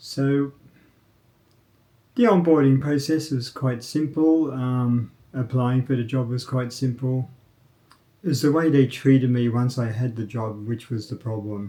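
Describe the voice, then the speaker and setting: With an Australian accent, a man speaks at a fairly slow pace in a dark, mellow tone, keeping his intonation fairly even and leaving long, frequent pauses. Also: medium pitch for a man. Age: 60s. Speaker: vlogger, former programmer. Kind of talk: casual monologue. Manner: halting, with fillers.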